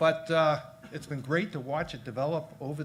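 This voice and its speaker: With a Boston accent, a man speaks at a moderate pace in a fairly high, somewhat breathy voice. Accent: Boston accent, still audible. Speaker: engineer, philanthropist, company founder. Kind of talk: interview.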